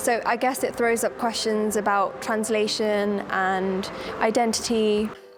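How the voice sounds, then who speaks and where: With an English accent, the speech comes through audible room echo and noticeable background noise. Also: woman, fairly high pitch for a woman, ordinary pitch variation, fairly slow pace, very even loudness. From UK. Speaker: poet. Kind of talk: interview.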